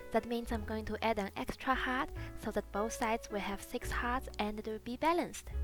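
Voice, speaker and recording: Music playing behind a woman's moderately paced speech. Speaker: beauty youtuber. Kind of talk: makeup tutorial voiceover.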